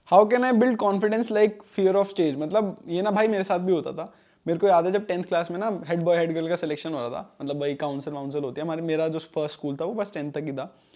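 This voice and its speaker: This man's voice sits at a high pitch with a dark, mellow tone. His pitch varies in an ordinary way. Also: hardly any pauses. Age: 20s. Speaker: software engineer and YouTuber. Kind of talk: Q&A casual talk to camera. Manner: casual, conversational Hinglish.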